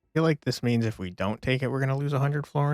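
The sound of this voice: Delivery comes in an unforced reading voice.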